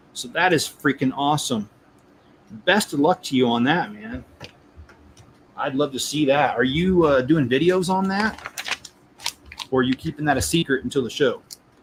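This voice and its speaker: Through noticeable background noise, a man with a fairly high pitch talks with long, frequent pauses. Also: ordinary pitch variation, moderate pace. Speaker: toy building livestreamer. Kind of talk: casual live stream chat. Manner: hesitant, many fillers.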